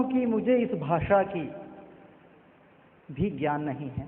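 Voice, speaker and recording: Through noticeable background noise and audible room echo, a man speaks at a high pitch with lively intonation. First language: not Hindi (speaking Hindi). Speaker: devotee speaker at scripture discourse. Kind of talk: devotional sermon.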